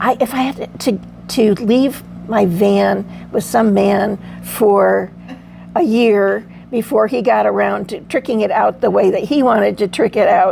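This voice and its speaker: A woman at a fairly slow pace over noticeable background noise. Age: 70s. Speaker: van camper at a women's meetup. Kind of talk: casual chat. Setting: group meetup.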